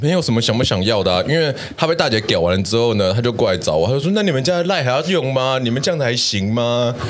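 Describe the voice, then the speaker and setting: Over noticeable background noise and audible room echo, a man with a medium pitch talks at a very fast pace with hardly any pauses, very wide pitch swings and very even loudness. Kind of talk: casual chat, storytelling.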